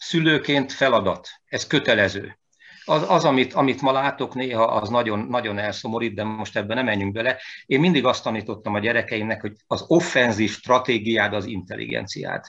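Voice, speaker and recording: The background is quiet as a man talks at a moderate pace. His pitch is medium with ordinary variation. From Hungary, Veszprém. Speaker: composer and pianist. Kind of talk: interview. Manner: animated; halting.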